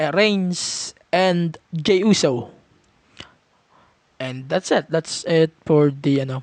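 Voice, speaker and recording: In a dry, close recording with no echo, a man with a fairly high pitch speaks at a very slow pace. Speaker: wrestling podcast host. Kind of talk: casual review monologue. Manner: Taglish code-switching.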